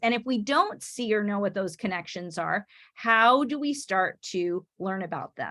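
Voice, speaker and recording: With a Michigan accent, a woman speaks at a moderate pace in a medium pitch, her intonation lively. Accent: non-Oklahoman (Michigan). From Michigan, US Midwest. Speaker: education professor. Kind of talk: online teacher workshop presentation. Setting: video call. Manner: halting, many restarts and fillers.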